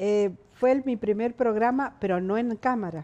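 Speaking at a moderate pace, a woman has a fairly high pitch, lively intonation and a dark, mellow tone. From Argentina, San Juan (Caucete); San Juan, Argentina. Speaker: veteran television journalist; interviewee, TV presenter. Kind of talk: interview. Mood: reflective, calm. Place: studio.

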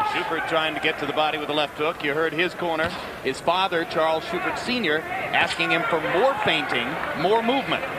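Background noise can be noticed throughout. The speaker goes at a fairly quick pace, with ordinary variation in pitch. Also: man, high pitch for a man. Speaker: boxing play-by-play commentator. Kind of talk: live fight commentary. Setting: ringside at arena. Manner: fluent, measured, storytelling delivery.

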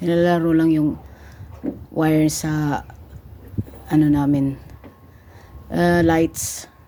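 With a very deep, low pitch and a dark, mellow tone, a woman speaks very slowly in a flat monotone, leaving long, frequent pauses. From Philippines. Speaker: vlogger. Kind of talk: casual vlog narration.

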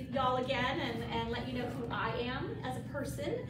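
A woman speaks with audible room echo and noticeable background noise. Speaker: presenter. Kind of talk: self-introduction to a meeting group. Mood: friendly, laughs a bit. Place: meeting room. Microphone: camera far.

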